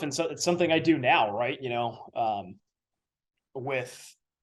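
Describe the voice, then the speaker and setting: A man speaks at a fairly slow pace with vocal fry. His intonation is lively. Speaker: public address announcer and sports broadcaster. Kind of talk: interview answer. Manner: conversational, thoughtful, some filler words.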